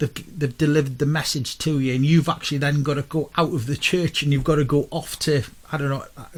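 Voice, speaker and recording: Somewhat breathy and fairly high in pitch, a man speaks at a fairly quick pace with fairly even intonation. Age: 40s. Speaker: radio co-host. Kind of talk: casual chat.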